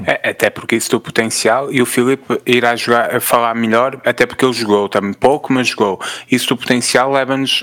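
Recorded dry and close with no echo, a man speaks at a medium pitch. His pace is moderate and his intonation monotone and flat. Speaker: podcast co-host. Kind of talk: casual chat.

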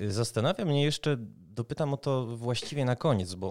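A plain, everyday voice with lively intonation at a fairly quick pace, on a very clean recording with a silent background. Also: man. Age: 30s. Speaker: podcast host, games journalist. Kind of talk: interview.

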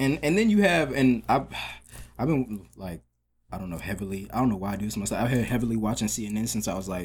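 The speaker uses a plain, everyday voice at a fairly quick pace. Pitch variation is ordinary. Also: man, medium pitch for a man. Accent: American. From Metro Atlanta, Georgia (Ivorian American family). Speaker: visual artist. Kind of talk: casual interview chat.

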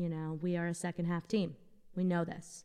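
Speaking at a fairly quick pace, a woman with an American accent has a normal speaking voice and a fairly low pitch. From Boston. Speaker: podcast co-host. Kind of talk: casual chat.

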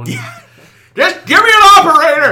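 Shouting in a put-on character voice, a man speaks at a fairly slow pace. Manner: yelling, exasperated.

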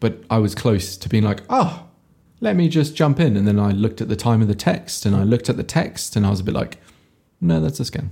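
Fairly quick and somewhat breathy, this man's fairly low voice has a dark, mellow tone and lively intonation. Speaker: podcast host. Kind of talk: casual chat.

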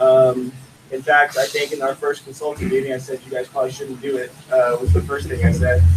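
A man at medium pitch, fairly quick pace and lively intonation, with noticeable background noise. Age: 30s. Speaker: cultivation director. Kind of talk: casual chat.

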